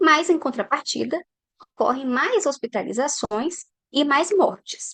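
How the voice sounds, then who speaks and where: Recorded dry and close with no echo, a woman is heard talking. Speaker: scientist. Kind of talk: lecture. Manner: deliberately paced.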